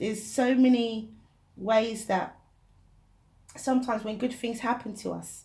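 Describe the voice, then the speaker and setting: A woman with a fairly high pitch and a dark, mellow tone speaks in a flat monotone with vocal fry and long, frequent pauses, with audible room echo. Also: fairly slow pace. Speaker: tarot reader. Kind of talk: tarot reading. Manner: soft-spoken.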